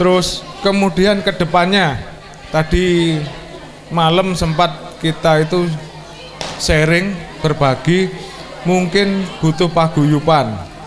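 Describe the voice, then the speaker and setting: A man speaks at a very slow pace with long, frequent pauses, his pitch high for a man and his intonation fairly even. His loudness stays very even, while audible room echo and noticeable background noise surround him. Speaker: school reunion speaker. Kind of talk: speech.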